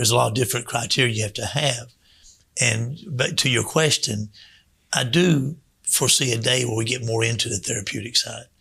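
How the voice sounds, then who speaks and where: A man speaks at a fairly quick pace with a bright, sharp tone and vocal fry. His pitch varies in an ordinary way. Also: medium pitch for a man. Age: 60s. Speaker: children's home director. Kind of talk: radio interview. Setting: radio studio.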